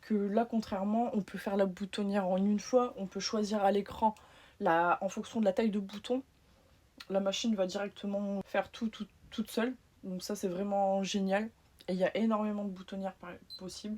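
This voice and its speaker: A woman with a northern French accent speaks at a moderate pace and medium pitch, her tone dark, mellow and somewhat breathy. Her intonation is monotone and flat, with long, frequent pauses. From northern France. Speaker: patchwork maker and small business owner. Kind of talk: sewing machine review.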